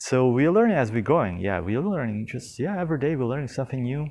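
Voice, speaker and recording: A man speaks with a non-native accent. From not from the local tropical country. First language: not English. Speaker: eco-retreat founder giving a tour. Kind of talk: casual walking video tour. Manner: halting, many fillers and repetitions.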